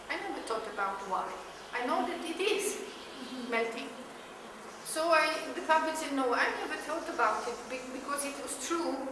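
A woman's raised, projected voice at a moderate pace, with long, frequent pauses, audible room echo and noticeable background noise. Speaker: teacher trainer. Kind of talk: explanatory talk to teachers. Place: classroom.

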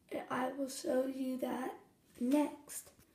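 Audible room echo surrounds a woman's high-pitched voice with fairly even intonation. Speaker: DIY tutorial video maker. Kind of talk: tutorial. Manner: casual, chatty.

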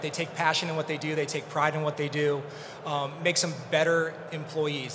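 Against noticeable background noise, a man with a fairly high pitch talks at a fairly quick pace with fairly even intonation. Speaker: engineering and planning director. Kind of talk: conference panel discussion.

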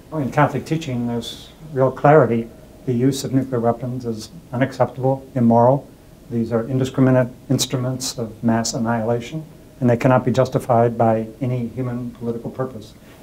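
With light background noise behind him, a man speaks in a monotone, flat intonation. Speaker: peace studies academic. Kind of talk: interview answer. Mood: earnest, measured. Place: home room. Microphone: lapel.

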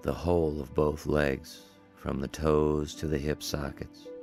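Music plays in the background as a man speaks very slowly. His very deep, low voice stays flat and monotone. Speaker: yoga teacher leading guided relaxation. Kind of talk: yoga nidra guided relaxation. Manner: slow, calm, soothing pacing.

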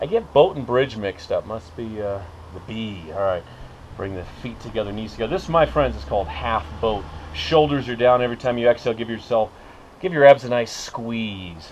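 Over light background noise, a man speaks at a moderate pace with lively intonation. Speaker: fitness instructor. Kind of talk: exercise class instruction. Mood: playful, joking. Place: open country. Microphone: camera far.

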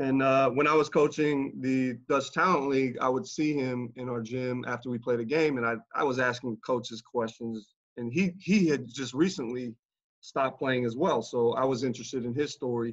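Against a quiet background, a man with an American accent speaks at a moderate pace with ordinary pitch variation. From US, military family moving between bases. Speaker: basketball coach, former pro player; basketball coach. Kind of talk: casual interview chat. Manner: hesitant, many fillers. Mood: relaxed, reminiscing. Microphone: video call.

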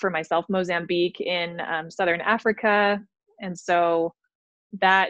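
A woman speaks at a fairly slow pace in a fairly low pitch, her intonation monotone and flat, with a dry, echo-free sound over a quiet background. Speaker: guest. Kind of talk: interview answer. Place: home room. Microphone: video call.

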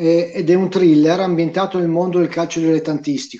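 A man speaks with a high pitch and fairly even intonation. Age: 50s. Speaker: writer, chemistry graduate. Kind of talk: book presentation chat. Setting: video call on smartphone. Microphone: smartphone.

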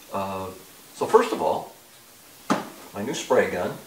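Light background noise and audible room echo surround a man talking at a fairly slow pace. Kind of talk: casual explanatory vlog talk.

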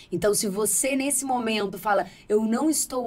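Somewhat breathy, a woman speaks at a moderate pace. Her pitch varies in an ordinary way. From Brazil. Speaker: podcast host. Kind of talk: podcast interview. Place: studio. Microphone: studio mic.

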